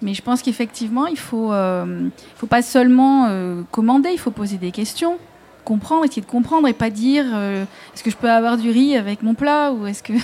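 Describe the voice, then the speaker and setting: An ordinary speaking voice from a woman, fairly high in pitch, with ordinary pitch variation and a moderate pace. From Marseille. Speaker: author and videographer. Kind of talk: live radio panel discussion. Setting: outdoor live broadcast with audience.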